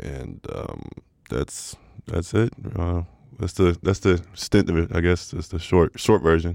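A man's very deep, low voice with vocal fry, ordinary pitch variation and a fairly slow pace. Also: big swings in loudness. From Sweden, Stockholm. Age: 20s. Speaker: professional basketball player. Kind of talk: casual interview.

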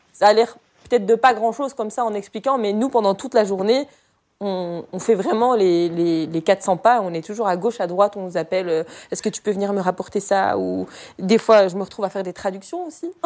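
A woman's ordinary speaking voice at medium pitch, fairly quick in pace, with ordinary pitch variation. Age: 30s. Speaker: hospital logistics aide. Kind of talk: interview testimony.

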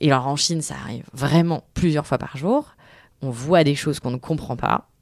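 A woman talks at a fairly quick pace with ordinary pitch variation. The sound is dry and close, with no echo. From France, Tours. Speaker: journalist and podcaster. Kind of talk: interview. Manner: hesitant, many fillers.

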